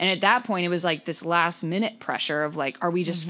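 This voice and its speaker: Loud and very fast, a woman talks with a fairly low pitch. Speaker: podcast co-host. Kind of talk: casual chat.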